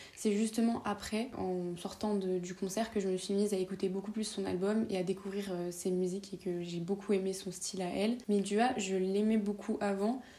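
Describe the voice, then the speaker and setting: A woman with a medium pitch talks with hardly any pauses over noticeable background noise. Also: moderate pace. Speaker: podcaster. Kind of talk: storytelling monologue. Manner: animated.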